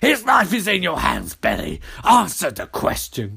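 A put-on character voice at a moderate pace. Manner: menacing, taunting.

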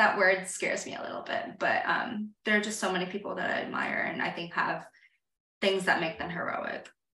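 At a fairly quick pace, a woman speaks amid audible room echo. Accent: American. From moved a lot: India, Saudi Arabia, various US states. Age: 30s. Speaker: writer and newsletter founder. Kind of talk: casual interview chat.

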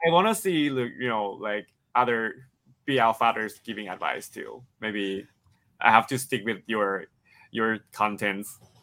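A man with a Thai accent speaks at a fairly slow pace, his medium-pitched voice bright and sharp with ordinary pitch variation, in a very clean recording with a silent background. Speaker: actor. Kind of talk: interview. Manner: halting, hesitant speech.

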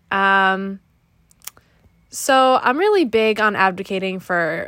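On a very clean recording with a silent background, a woman with an American accent speaks at a medium pitch in a bright, sharp tone. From Connecticut, New England. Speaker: podcast host, college student. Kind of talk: casual solo monologue.

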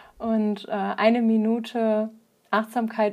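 A woman talks in a fairly high pitch. Her tone is dark and mellow. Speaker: podcast host and yoga teacher. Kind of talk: interview.

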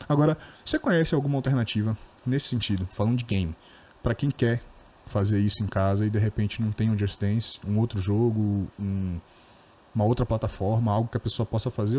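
Speaking at a very fast pace yet with long, frequent pauses, a man keeps his medium-pitched, somewhat breathy voice at very even loudness, with ordinary pitch variation and a dry, close sound with no echo. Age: 20s. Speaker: podcast host. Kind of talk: casual interview.

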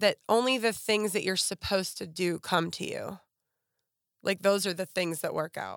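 A plain, everyday voice from a woman with an American accent, at a medium pitch and moderate pace with fairly even intonation, in a very clean recording with a silent background and a dry, close sound with no echo. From western Pennsylvania, near Pittsburgh. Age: 40s. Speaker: model and former teacher. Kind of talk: casual interview.

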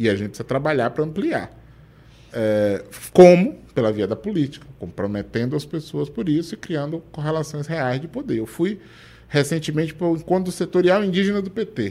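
This man has a fairly high pitch, a dark, mellow tone and very wide pitch swings, and he speaks at a moderate pace. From Bahia, Brazil (Feira de Santana). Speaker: state government official and law professor. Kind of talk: interview.

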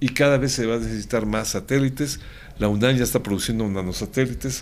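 A medium-pitched man at a very fast pace. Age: 70s. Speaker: government official. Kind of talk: interview.

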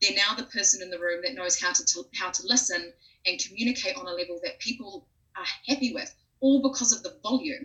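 Speaking very fast with a Southland New Zealand accent, a woman has a fairly high pitch. Her intonation is lively and her loudness swings widely. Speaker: speech pathologist and voice coach. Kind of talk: interview.

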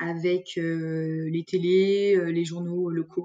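The woman's voice sits fairly low, with a dark, mellow tone and monotone, flat intonation. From France, Lyon region. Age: 20s. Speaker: sales development representative. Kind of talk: interview. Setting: remote recording.

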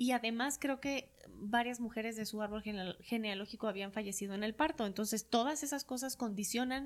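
Captured in a very clean recording with a silent background, a woman speaks at a moderate pace, fairly high in pitch, with ordinary pitch variation. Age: 40s. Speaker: psychologist and hypnotherapist. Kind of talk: interview conversation.

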